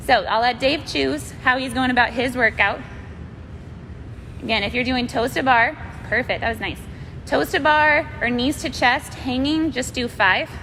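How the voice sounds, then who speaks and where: In a room with audible echo, a woman speaks loudly and at a high pitch, keeping a moderate pace broken by long, frequent pauses. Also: ordinary pitch variation. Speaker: fitness instructor. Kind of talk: live workout class instruction. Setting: live-streamed video from gym. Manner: loud, projecting; casual, chatty.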